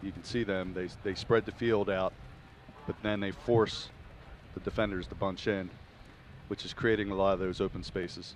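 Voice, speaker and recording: A man with a Philadelphia accent speaks at a fairly low pitch in a flat monotone, leaving long, frequent pauses. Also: moderate pace. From Philadelphia area, US. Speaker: color commentator. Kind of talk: live sports commentary. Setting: press box at stadium.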